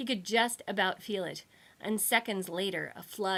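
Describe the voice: Intonation stays fairly level as the text is read aloud in a plain way.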